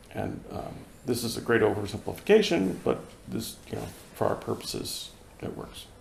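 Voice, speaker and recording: A man with an American accent speaks at a moderate pace amid audible room echo. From US Northeast, Boston. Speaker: Zen practitioner giving dharma talk. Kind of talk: dharma talk. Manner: hesitant, many fillers.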